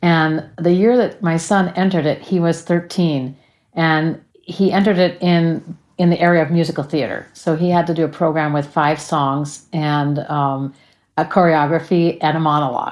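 An ordinary speaking voice with a General American accent holds a moderate pace, fairly even intonation and very even loudness on a very clean recording with a silent background. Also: woman, fairly low pitch for a woman. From US West Coast, Los Angeles. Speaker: sound healer and singer. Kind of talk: interview.

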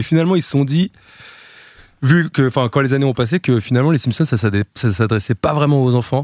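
A man's medium-pitched voice with ordinary pitch variation and very even loudness, long, frequent pauses, and a dry, close sound with no echo. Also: fairly quick pace. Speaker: podcast co-host. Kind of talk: casual chat.

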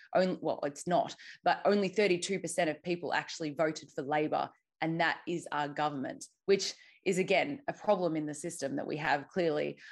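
A woman with an Australian accent, fairly low in pitch, fairly quick in pace, ordinary pitch variation, quiet background. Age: young. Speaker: activist and journalist. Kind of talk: interview. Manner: halting.

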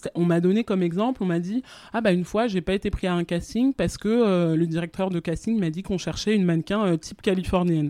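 A woman speaks at medium pitch with ordinary pitch variation. The background is quiet. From France. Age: 20s. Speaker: fashion communications professional. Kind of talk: interview. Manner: halting.

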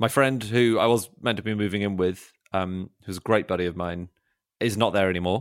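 On a very clean recording with a silent background, a man with a southern English accent speaks fairly quickly at a fairly low pitch. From London, England. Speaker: comedy writer and podcaster. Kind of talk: casual chat. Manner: halting.

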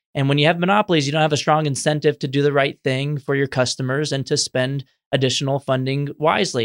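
Speech comes at a very fast pace with an American accent. The recording is very clean with a silent background and a dry, close sound with no echo. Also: man. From Texas, San Antonio. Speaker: education policy researcher. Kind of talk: interview. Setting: in-person studio. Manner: energetic.

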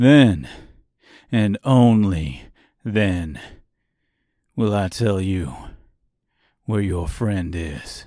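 A man's put-on character voice, low and dark with a mellow tone, lively in intonation, at a very slow pace with long, frequent pauses. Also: very clean recording, silent background.

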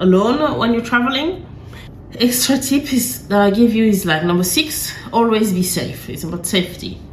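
With lively intonation, a woman speaks at a moderate pace while noticeable background noise runs underneath. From Africa. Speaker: travel podcaster. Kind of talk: solo podcast monologue. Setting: hotel room.

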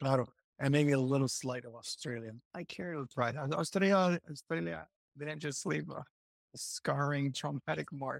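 In a Puerto Rican accent, a man speaks at a moderate pace and a fairly high pitch with lively intonation, the sound dry and close with no echo in a very clean recording with a silent background. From Puerto Rico. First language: Spanish. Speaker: former bible college student, teacher. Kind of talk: casual interview chat. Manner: halting, with many restarts.

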